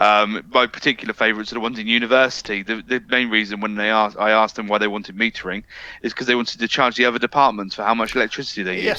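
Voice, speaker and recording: A man's very fast, monotone and flat delivery in a British accent, fairly low in pitch with a bright, sharp tone. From UK. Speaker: AV integration specialist. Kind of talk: webinar discussion.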